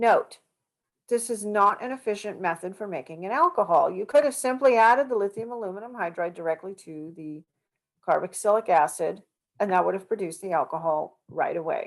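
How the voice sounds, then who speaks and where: Her loudness swings widely as the woman talks with lively intonation at a medium pitch. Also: fairly quick pace. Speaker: chemistry instructor. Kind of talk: lecture. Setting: video call.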